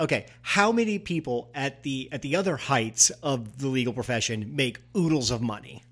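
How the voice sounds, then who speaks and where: On a very clean recording with a silent background, a man with an American accent speaks in a normal speaking voice at medium pitch and a moderate pace, with lively intonation and hardly any pauses. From Missouri. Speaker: political podcast co-host. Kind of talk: casual political discussion.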